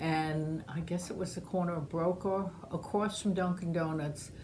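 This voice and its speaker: A somewhat breathy woman with an American accent speaks at a moderate pace in a fairly low pitch with fairly even intonation, and room echo is audible. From New York, Long Island (Great Neck). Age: 70s. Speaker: oral history interviewee. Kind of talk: oral history interview.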